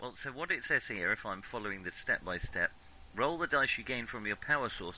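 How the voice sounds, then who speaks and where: With a British accent, a man speaks at a fairly quick pace. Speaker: tabletop game player. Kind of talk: casual chat.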